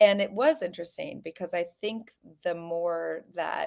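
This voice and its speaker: A woman in an American accent at a fairly slow pace, on a very clean recording with a silent background. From US, Colorado. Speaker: author. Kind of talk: casual interview.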